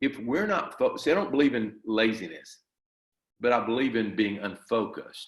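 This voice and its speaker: At a moderate pace, a man uses lively intonation at a medium pitch in an unremarkable speaking voice. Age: 60s. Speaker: martial arts grandmaster and school owner. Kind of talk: interview.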